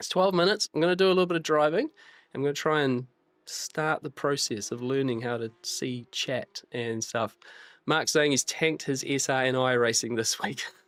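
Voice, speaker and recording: On a very clean recording with a silent background and a dry, close sound with no echo, a man with a New Zealand accent speaks at a fairly high pitch with ordinary pitch variation. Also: moderate pace. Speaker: sim racing streamer. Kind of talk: live stream commentary. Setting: live stream. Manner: halting.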